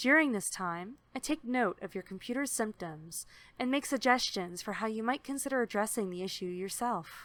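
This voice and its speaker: An unremarkable speaking voice with lively intonation comes through on a very clean recording with a silent background. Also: woman, fairly high pitch for a woman, moderate pace. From Canada. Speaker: remote tech support provider. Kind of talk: service advertisement read.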